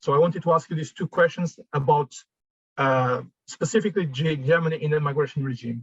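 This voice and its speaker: Fairly high-pitched and somewhat breathy, a man speaks at a fairly quick pace with ordinary pitch variation. The sound is dry and close, with no echo. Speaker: migration researcher. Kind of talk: academic discussion. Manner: fast; halting, many fillers.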